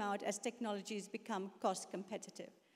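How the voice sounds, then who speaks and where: There is no background noise to speak of. The delivery keeps a moderate tempo. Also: woman. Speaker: panel moderator. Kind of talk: moderating a conference panel, reading points. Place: hall. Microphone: handheld.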